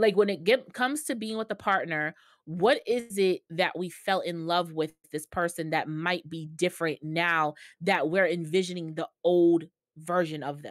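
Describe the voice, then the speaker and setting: Speaking at a moderate pace against a quiet background, a woman uses a fairly low pitch with ordinary pitch variation. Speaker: podcast co-host. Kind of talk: casual chat. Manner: quiet, mellow in everyday talk. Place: home room. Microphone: video call.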